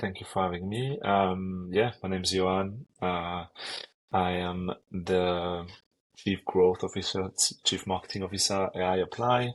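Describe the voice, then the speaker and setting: The speaker has a French accent and talks at a fairly slow pace with fairly even intonation. The background is quiet. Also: man, very deep, low pitch for a man. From France. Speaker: marketing executive. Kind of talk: interview. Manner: hesitant, many fillers.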